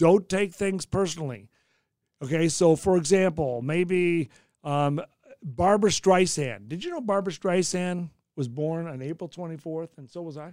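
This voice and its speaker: A man speaks at a moderate pace in a high pitch, with big swings in loudness. The recording is very clean with a silent background. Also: ordinary pitch variation. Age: 60s. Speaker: meteorologist and podcast host. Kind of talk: casual chat.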